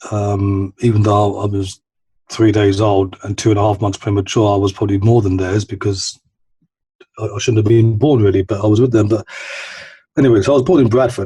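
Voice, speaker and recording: A man's fairly low, somewhat breathy voice with a dark, mellow tone, fairly even intonation and a fairly quick pace. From East London, England. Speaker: recovering addict sharing his story. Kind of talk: personal testimony in podcast interview. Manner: halting, many repetitions and fillers.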